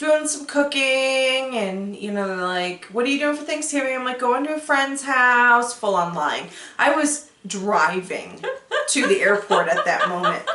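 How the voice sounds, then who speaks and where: Projecting a raised voice, a woman speaks in a high pitch at a fairly slow pace with lively intonation and an animated tone, amid noticeable background noise and audible room echo. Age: 40s. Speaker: podcast host. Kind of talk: casual chat.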